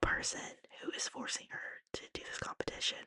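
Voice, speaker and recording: A woman whispers at a moderate pace, the sound dry and close with no echo. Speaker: ASMR artist. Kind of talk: book recap. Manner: whispered.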